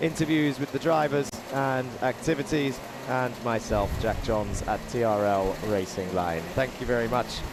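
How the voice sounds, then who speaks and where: There is noticeable background noise as a man talks at a fairly slow pace. His pitch varies in an ordinary way. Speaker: motorsport commentator. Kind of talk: live commentary. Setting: commentary booth at race circuit. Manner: animated.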